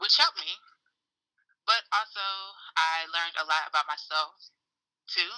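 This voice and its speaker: A woman with an American accent has a fairly low voice and a bright, sharp tone, with fairly even intonation. She keeps a moderate pace with long, frequent pauses, and the sound is dry and close with no echo. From US South, Atlanta, Georgia. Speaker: small business owner. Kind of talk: casual interview.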